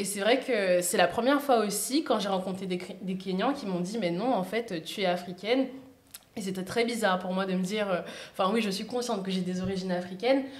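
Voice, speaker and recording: A woman talks at a fairly quick pace with ordinary pitch variation. Audible room echo and noticeable background noise are present. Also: medium pitch for a woman. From Guadeloupe. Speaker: podcast guest. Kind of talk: casual chat.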